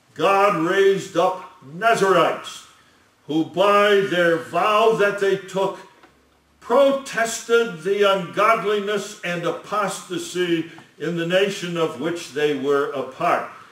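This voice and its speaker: In a room with audible echo, a man with a high voice and ordinary pitch variation talks at a very slow pace. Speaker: lecturer on scripture. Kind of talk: sermon.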